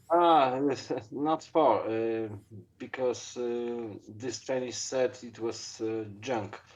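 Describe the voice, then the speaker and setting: Speaking very slowly, this man holds a medium pitch and shows ordinary pitch variation. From Poland. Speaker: lock picking hobbyist. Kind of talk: interview. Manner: halting, many fillers.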